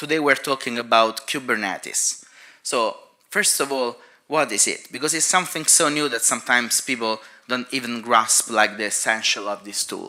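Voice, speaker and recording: A man with a non-native accent, a bright, sharp tone and lively intonation. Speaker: cloud infrastructure engineer. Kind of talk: conference talk.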